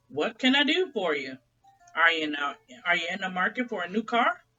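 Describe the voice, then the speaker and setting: A woman's put-on character voice at a medium pitch and a fairly quick pace. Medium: read story. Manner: loud, folksy.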